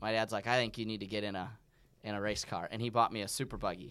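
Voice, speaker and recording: A man talks with an American accent. His pitch is fairly low, his intonation fairly even. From US. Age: 20s. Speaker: off-road racing driver. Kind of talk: casual chat.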